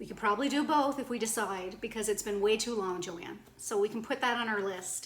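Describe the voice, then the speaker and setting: A woman talks with a Cape Breton accent at a fairly quick pace, hardly pausing. Her pitch is fairly high with ordinary variation, and background noise is noticeable. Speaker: video blogger. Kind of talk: casual vlog chat.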